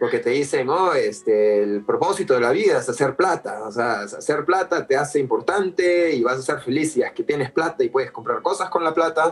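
A man talking with hardly any pauses against noticeable background noise. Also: moderate pace. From Peru (Lima). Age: 40s. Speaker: artist. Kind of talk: casual interview chat. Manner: hesitant, frequent fillers and repetitions.

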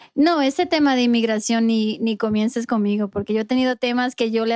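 A woman with a plain, everyday voice speaks in a fairly high pitch with fairly even intonation. The sound is dry and close with no echo, over a quiet background. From New York, immigrant to US. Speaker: dental hygienist and dental recruiter. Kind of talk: casual interview chat.

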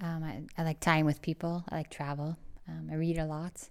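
A woman with an American accent speaks in a very deep, low pitch and a monotone, flat intonation on a very clean recording with a silent background. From US Midwest, St. Louis, Missouri. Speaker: communications professional and entrepreneur. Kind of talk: interview. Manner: halting.

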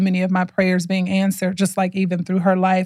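In a very clean recording with a silent background, a woman with a somewhat breathy voice at medium pitch speaks at a fairly quick pace in an animated tone. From Chicago. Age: 40s. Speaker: podcast host, mindset coach. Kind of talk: casual monologue.

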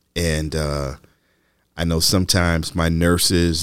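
This is a man talking. His pitch is very deep and low. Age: 60s. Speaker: television producer. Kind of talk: personal reflection monologue. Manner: halting, many fillers.

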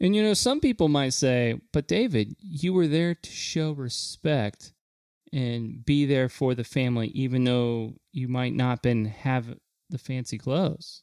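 A man speaks in a normal speaking voice at medium pitch with ordinary pitch variation, at a fairly slow pace, with a dry, close sound and no echo. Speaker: podcast co-host. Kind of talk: casual chat.

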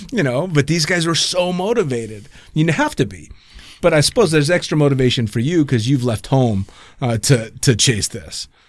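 Speaking fairly quickly in a normal speaking voice with an American accent, a man uses lively intonation at a fairly high pitch. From California. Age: 50s. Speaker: podcast host, skydiving pilot. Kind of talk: casual interview chat. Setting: in person recording.

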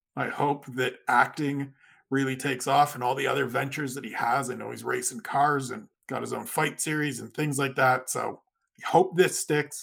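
A fairly high-pitched man speaks at a moderate pace with vocal fry and fairly even intonation. His loudness swings widely. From Canada, Niagara region. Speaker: MMA writer and podcaster. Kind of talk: casual chat.

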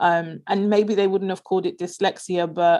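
A woman with a London accent talks at a fairly quick pace against a quiet background. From south London (Peckham). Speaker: leadership and performance coach. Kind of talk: interview conversation.

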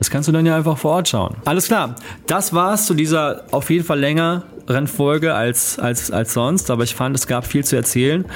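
With noticeable background noise behind him, a man speaks at a moderate pace using lively intonation. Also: fairly high pitch for a man, very even loudness. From Germany. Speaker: podcast host. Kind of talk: solo podcast monologue. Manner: casual, conversational.

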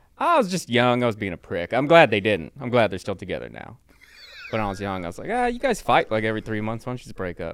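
A man with an American accent rattles along at a very fast pace as noticeable background noise sounds behind him. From Southern California (Riverside). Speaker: comedian. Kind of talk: casual chat.

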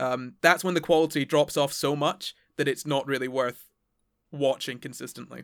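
An ordinary speaking voice, a man pitched fairly high, at a moderate pace with fairly even intonation, on a very clean recording with a silent background. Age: 20s. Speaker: science podcaster. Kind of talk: casual chat.

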